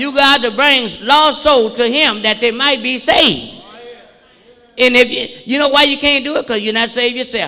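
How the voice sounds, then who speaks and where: A man projects a raised voice at an extremely high pitch with ordinary pitch variation. Audible room echo and noticeable background noise surround him. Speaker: pastor. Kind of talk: sermon. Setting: church. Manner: fast; animated.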